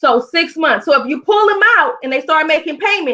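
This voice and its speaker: A woman's extremely high, raised and projected voice, bright and sharp in tone, with very wide pitch swings. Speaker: credit repair educator. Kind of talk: presentation. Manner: fast.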